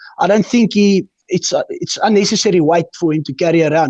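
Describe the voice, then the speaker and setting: Recorded dry and close with no echo, a man talks with a South African accent. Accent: Afrikaans-accented English. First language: Afrikaans. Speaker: quad racer. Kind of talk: interview answer.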